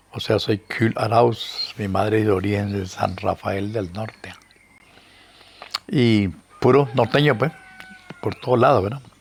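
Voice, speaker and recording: A man with a Nicaraguan accent speaks at a fairly slow pace, his fairly low pitch showing ordinary variation. Long, frequent pauses break up his speech over noticeable background noise. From Nicaragua, Matagalpa (northern Nicaragua). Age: 80s+. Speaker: historian and writer. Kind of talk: interview, life story.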